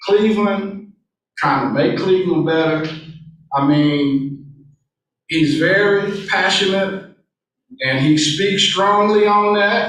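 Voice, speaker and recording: A loud man with an American accent talks in an animated tone at a high pitch and a fairly slow pace, with ordinary pitch variation and audible room echo. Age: 60s. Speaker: city council member. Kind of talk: public meeting speech. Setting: city council chamber.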